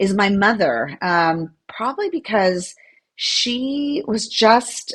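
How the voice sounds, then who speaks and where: Somewhat breathy and fairly high-pitched, a woman speaks at a very slow pace with lively intonation. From United States, daughter of Latin American immigrants. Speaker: corporate lawyer and author. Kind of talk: podcast interview.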